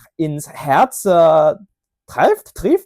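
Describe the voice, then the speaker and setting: The recording of this man's fairly high-pitched voice is dry and close, with no echo. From Hong Kong. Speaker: polyglot language learner. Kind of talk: casual language showcase monologue. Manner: halting, many filler sounds.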